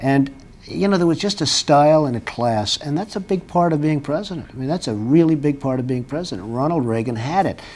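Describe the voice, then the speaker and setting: A man with a normal speaking voice talks at a fairly high pitch and a fairly quick pace with hardly any pauses, in a very clean recording with a silent background. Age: 50s. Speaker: businessman considering a presidential run. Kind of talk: TV interview answer.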